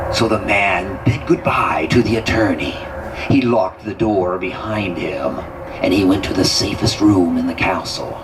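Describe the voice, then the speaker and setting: Over loud background noise, a man uses a put-on character voice with a fairly low pitch at a moderate pace. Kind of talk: horror narration. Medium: stage play. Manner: slow, suspenseful, dramatic.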